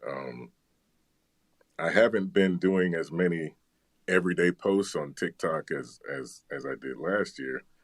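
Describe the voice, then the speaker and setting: A man talks in a very deep, low voice with vocal fry and lively intonation. He goes at a fairly slow pace, with long, frequent pauses. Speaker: bass voice content creator. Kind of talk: interview answer. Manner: relaxed, conversational, humorous.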